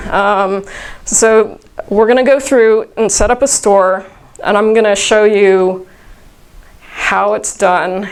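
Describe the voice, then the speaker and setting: The voice moves at a very slow pace with ordinary pitch variation. Audible room echo fills the recording. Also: woman. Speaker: conference speaker. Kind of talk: workshop talk. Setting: conference room with audience. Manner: loud.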